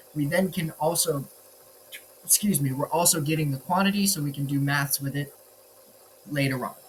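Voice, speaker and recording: Noticeable background noise runs under a man's fairly high-pitched voice with ordinary pitch variation. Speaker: student presenting a programming project. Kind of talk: code walkthrough screencast. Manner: fast; casual, with fillers.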